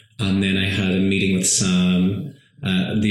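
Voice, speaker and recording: A man with a very deep, low voice speaks at a fairly slow pace over noticeable background noise. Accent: Northern Irish. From Northern Ireland, County Tyrone. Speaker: stage actor and singer. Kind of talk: casual interview.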